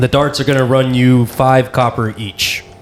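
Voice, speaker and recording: Amid clear background noise, a man puts on a character voice at medium pitch with monotone, flat intonation. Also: moderate pace. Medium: actual play. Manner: haughty, curt.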